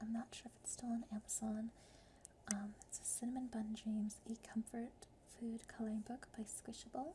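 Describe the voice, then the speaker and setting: Soft-spoken, the speaker moves along at a moderate pace. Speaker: ASMR creator. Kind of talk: ASMR casual talk.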